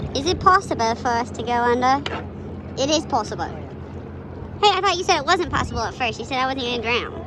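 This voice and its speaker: Over noticeable background noise and audible room echo, the speech runs at a fairly quick pace with lively intonation. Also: woman, high pitch for a woman. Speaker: vlogger. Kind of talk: casual chat. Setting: outdoors. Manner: loud; animated.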